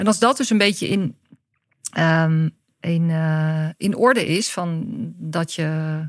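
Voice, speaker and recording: A woman speaks very slowly at a fairly low pitch. Her speech has long, frequent pauses. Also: ordinary pitch variation. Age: 50s. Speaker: director of a workshop school. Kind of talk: interview conversation.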